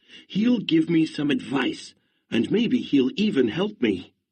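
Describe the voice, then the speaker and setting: Using a put-on character voice, a man speaks fairly slowly at a high pitch with very wide pitch swings. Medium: read story.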